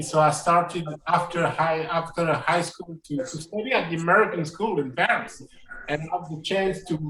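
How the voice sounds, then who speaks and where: Noticeable background noise sits behind a man speaking with a French accent. His pitch is high, his pace moderate and his intonation fairly even. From France. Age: 30s. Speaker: jazz pianist and educator. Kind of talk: interview. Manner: halting, many repetitions.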